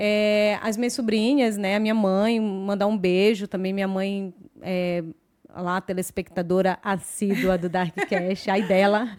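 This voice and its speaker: Speaking at a fairly slow pace, a woman with a medium pitch keeps her intonation fairly even. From Brazil, Belém do Pará. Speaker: podcast host. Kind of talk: casual chat. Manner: hesitant fillers.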